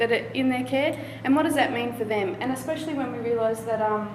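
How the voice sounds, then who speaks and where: A woman talks at a fairly quick pace in a high voice with an Australian accent and ordinary pitch variation. Noticeable background noise and audible room echo fill the recording. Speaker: doctoral candidate. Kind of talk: competition talk. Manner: fast.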